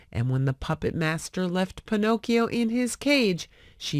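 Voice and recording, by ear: Lively intonation, reading aloud in a natural voice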